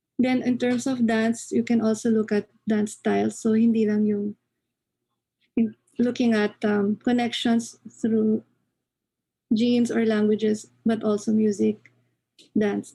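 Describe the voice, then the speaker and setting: A woman with a Filipino accent speaks at a fairly slow pace in a fairly high, somewhat breathy voice with a dark, mellow tone. Her delivery is monotone and flat, very even in loudness, with long and frequent pauses. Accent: Filipino English, Taglish code-switching. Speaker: anthropology lecturer. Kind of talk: lecture.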